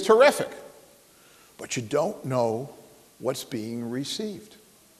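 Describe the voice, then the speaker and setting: Speaking at a fairly slow pace with an American accent, this man's pitch swings very widely. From New York. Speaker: guest speaker at business school. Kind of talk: talk to students with audience questions.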